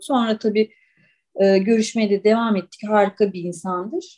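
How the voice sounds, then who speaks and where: The speaker is a woman with a fairly high pitch. She talks at a very slow pace. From Istanbul, Turkey. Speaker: writer and olive oil taster. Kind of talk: podcast interview.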